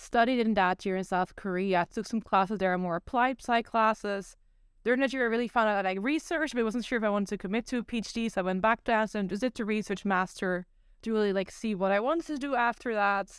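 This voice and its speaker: A woman with a Dutch accent, a fairly high pitch and a very fast pace, in a dry, close sound with no echo on a very clean recording with a silent background. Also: ordinary pitch variation. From Netherlands. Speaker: psychology PhD student. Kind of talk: podcast interview.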